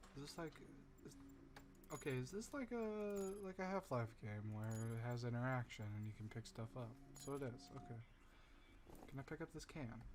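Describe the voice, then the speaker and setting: With lively intonation and a somewhat breathy quality, a man of medium pitch speaks at a moderate pace, leaving long, frequent pauses. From Canada. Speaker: gamer. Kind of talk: casual gameplay commentary.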